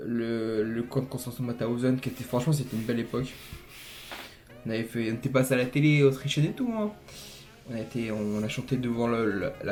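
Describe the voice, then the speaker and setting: A man races through his words at a very fast pace while noticeable background noise carries on. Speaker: youtuber. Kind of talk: casual vlog. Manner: sometimes poorly articulated.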